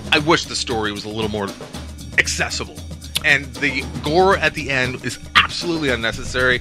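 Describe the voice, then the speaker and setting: A man talks at a fairly quick pace. Clear music plays in the background, and the sound is dry with no echo. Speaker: podcast co-host. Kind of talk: film review discussion. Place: home room. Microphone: studio mic.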